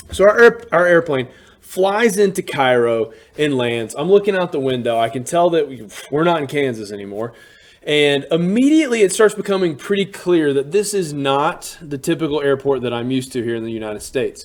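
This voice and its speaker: Animated and fairly quick, a man speaks in a fairly high pitch with very wide pitch swings. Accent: Southern US. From US South, Alabama (Birmingham suburbs). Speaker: teacher and storyteller. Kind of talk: storytelling monologue. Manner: casual, animated.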